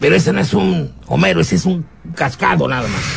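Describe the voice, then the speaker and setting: A raspy, put-on character voice races along at a very fast pace with very wide pitch swings. Clear background noise sits behind it. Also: man, very deep, low pitch for a man. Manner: dim-witted.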